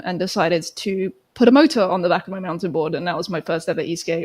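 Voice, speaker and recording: A woman with a British accent, talking at a very fast pace. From UK. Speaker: electric skateboard racer. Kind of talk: casual interview chat. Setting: live stream.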